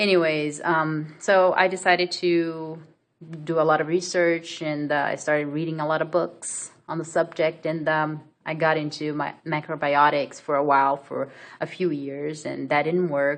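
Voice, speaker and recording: Against a quiet background, a woman speaks at a moderate pace with a Brazilian accent, her very deep, low voice monotone and flat. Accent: Brazilian accent, non-native English. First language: Portuguese. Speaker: vlogger. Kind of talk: personal story vlog. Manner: hesitant, many fillers.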